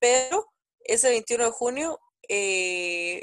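Heard with a close, dry sound and no echo, a woman is speaking. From Guatemala. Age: 20s. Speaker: mother sharing birth story. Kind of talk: casual interview chat.

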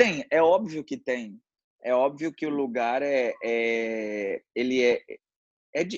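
Recorded dry and close with no echo, a man with a medium pitch and ordinary pitch variation talks at a very slow pace, leaving long, frequent pauses. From Brazil, Mato Grosso do Sul (Paranaíba). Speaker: podcast guest, native of the state. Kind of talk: casual interview. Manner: halting, many false starts.

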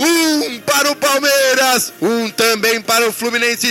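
Over music in the background, a man speaks in a raised, projected voice. His pitch is extremely high, and his tone is excited. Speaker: radio sports announcer. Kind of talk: live football commentary. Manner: rapid-fire, excited play-by-play, rising energy at goals.

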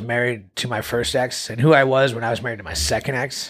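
A man talks at a very fast pace. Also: very clean recording, silent background. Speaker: father in a blended family. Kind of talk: interview. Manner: soft-spoken.

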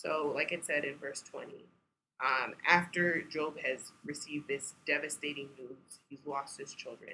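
A woman with an American accent speaks at a fairly slow pace in a very deep, low voice that has a bright, sharp tone. Her intonation stays monotone and flat while her loudness swings widely. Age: 20s. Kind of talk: casual chat.

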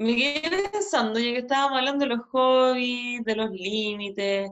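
A woman talks with lively intonation at a moderate pace. Her pitch is fairly high, and she has an ordinary speaking voice. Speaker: psychologist and podcast host. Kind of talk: casual interview chat.

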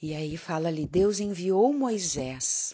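A woman's voice with very wide pitch swings. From southern Brazil, Porto Alegre area. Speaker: church member giving a devotional talk. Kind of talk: devotional talk / sermon-style testimony. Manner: conversational with frequent fillers.

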